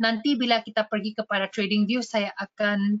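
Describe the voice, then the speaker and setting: In a Malaysian accent, a woman speaks at a moderate pace with a fairly high pitch and a monotone, flat intonation. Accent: Malaysian accent in Indonesian. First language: Malay or English (speaking Indonesian). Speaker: trading educator. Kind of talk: webinar tutorial. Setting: online webinar. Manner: code-switching, many fillers.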